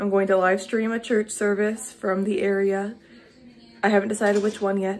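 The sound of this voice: At a moderate pace, a woman talks with medium pitch, little pitch movement and a slightly mellow tone.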